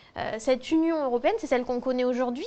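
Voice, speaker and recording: Usual rises and falls in pitch over a quiet background. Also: woman. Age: 20s. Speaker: history and geography teacher. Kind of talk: interview testimony. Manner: hesitant, many fillers.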